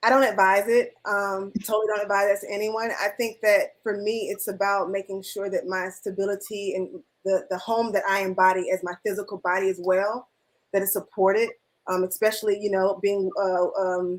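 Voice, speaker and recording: The speaker has an American accent, talking at a moderate pace with monotone, flat intonation. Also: woman, medium pitch for a woman. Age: 30s. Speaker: filmmaker and film teacher. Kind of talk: panel discussion.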